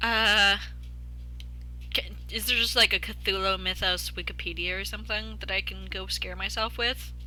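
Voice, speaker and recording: A woman speaks at a moderate pace, leaving long, frequent pauses. Music plays in the background. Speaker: vtuber streamer. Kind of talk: casual livestream chat. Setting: live stream. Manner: hesitant, many fillers.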